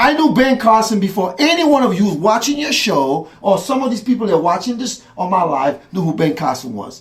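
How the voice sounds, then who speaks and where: Speaking with a Caribbean accent, this voice moves at a fairly quick pace in an animated tone with hardly any pauses. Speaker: political commentator. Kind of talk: heated debate. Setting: radio show streamed live.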